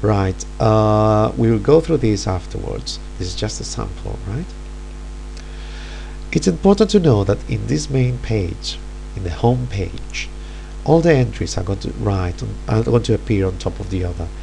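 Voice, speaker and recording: Against noticeable background noise, a man talks at a moderate pace with long, frequent pauses. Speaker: teacher. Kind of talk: software tutorial narration.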